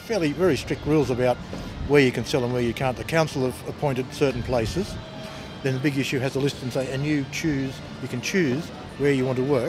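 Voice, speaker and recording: With an Australian accent, a man speaks at a fairly quick pace and medium pitch with fairly even intonation while music plays in the background. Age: 60s. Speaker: street magazine vendor. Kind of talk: documentary interview. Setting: outdoors in a shopping mall. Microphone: poor sound quality, audio skips.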